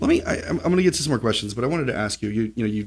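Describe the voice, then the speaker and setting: On a very clean recording with a silent background, a man speaks at a fairly low pitch in a somewhat breathy voice. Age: 40s. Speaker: podcast host and family lawyer. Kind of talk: casual interview.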